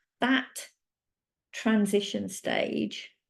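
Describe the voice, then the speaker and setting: A woman speaks in a British accent. The background is quiet. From UK. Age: 50s. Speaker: menopause coach. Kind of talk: presentation. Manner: occasionally halting.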